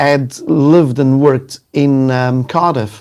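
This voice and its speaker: A man speaks with a South African accent at a fairly high pitch. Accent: South African, noticeable. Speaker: sales executive and LinkedIn trainer. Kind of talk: casual live interview. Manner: hesitant, many fillers.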